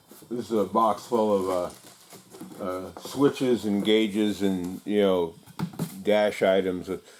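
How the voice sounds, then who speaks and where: Over noticeable background noise, a man with a fairly low pitch speaks at a very slow pace with fairly even intonation. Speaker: hobby mechanic and auto body tool maker. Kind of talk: casual shop vlog. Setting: workshop. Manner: halting, many fillers.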